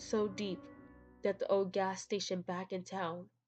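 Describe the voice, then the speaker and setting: A woman speaks at a moderate pace while music plays behind her. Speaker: horror story narrator. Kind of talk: horror story reading.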